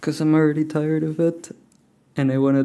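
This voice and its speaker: A man speaks quietly. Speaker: programming livestreamer. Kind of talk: live coding stream chat. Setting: at home, early morning. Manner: quiet, hushed.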